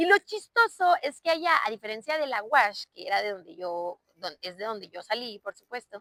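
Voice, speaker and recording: A woman with a northern Mexican accent speaks at a moderate pace with hardly any pauses, her fairly high pitch making very wide swings and her loudness shifting a lot. Her tone is bright and sharp, and the sound is dry and close, with no echo. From northern Mexico, Chihuahua. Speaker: podcast host, civil engineer. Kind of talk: personal storytelling monologue. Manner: casual, filler-heavy.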